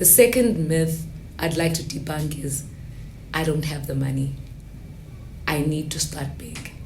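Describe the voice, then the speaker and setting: Over noticeable background noise and audible room echo, a woman with a very deep, low voice speaks at a fairly slow pace with ordinary pitch variation and long, frequent pauses. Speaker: guest on a personal finance podcast. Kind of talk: casual interview chat.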